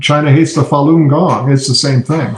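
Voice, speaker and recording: A fairly high-pitched man at a moderate pace, with noticeable background noise. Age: 60s. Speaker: political cartoonist. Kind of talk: podcast interview.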